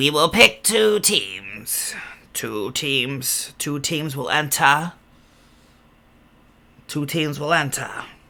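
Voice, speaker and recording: Putting on a character voice, a man speaks in a fairly high pitch at a very slow pace, with long, frequent pauses. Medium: actual play. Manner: commanding, repetitive.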